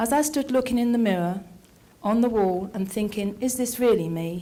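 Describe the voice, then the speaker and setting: A woman's somewhat breathy voice with a dark, mellow tone and a medium pitch. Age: 70s. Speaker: poetry reader. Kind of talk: reading aloud own poems.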